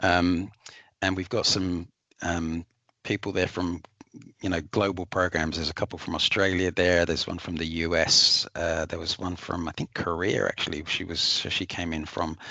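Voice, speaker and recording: Against a quiet background, a man with an English accent speaks at a moderate pace in a very deep, low pitch, his tone bright and sharp, his intonation monotone and flat, in a dry, close sound with no echo. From England. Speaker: corporate travel manager. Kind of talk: webinar testimony. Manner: hesitant, many fillers and repeats.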